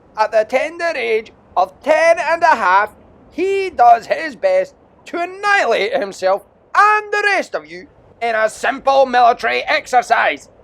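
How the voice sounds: Putting on a character voice, a man goes extremely high in pitch with big swings, a fairly bright tone, vocal fry and a fairly slow pace.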